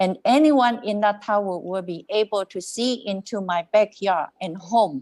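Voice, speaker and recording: A woman with a non-native accent speaks at a fairly slow pace against a quiet background. Her pitch is medium, with ordinary variation. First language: not English. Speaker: resident delegate at council meeting. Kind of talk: public comment statement.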